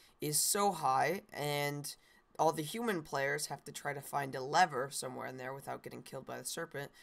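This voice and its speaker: In a very clean recording with a silent background, a woman with a very deep, low pitch speaks at a moderate pace, with vocal fry. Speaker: Minecraft content creator. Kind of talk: casual talk to camera. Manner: hesitant, many filler words.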